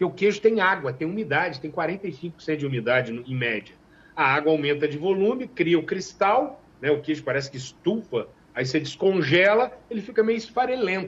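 A man with a high pitch and lively intonation at a moderate pace. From Minas Gerais, Zona da Mata (Brazil). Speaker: master cheesemaker. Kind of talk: interview.

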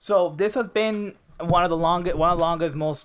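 A man talks in a normal speaking voice at a moderate pace. His pitch varies in an ordinary way. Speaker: podcast host. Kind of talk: casual chat. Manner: profane, joking.

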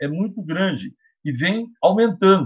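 Intonation rises and falls in a lively way as a man talks. He keeps a fairly slow pace. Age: 50s. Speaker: law professor, lawyer and council candidate. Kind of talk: interview.

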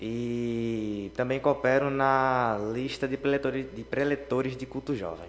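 A man speaks in an ordinary speaking voice at a medium pitch and fairly slow pace. He barely pauses, and his intonation is fairly even. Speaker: psychology student. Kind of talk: casual chat. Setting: radio studio.

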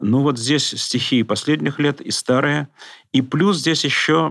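Ordinary pitch variation and a very slow pace from a man. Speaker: professor and poet. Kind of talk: casual interview.

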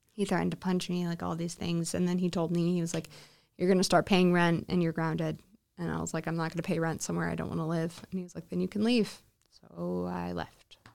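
Over a silent background in a very clean recording, a woman with an American accent talks at a very fast pace. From Alaska, US. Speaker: recovering addict and shelter client. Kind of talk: personal testimony interview.

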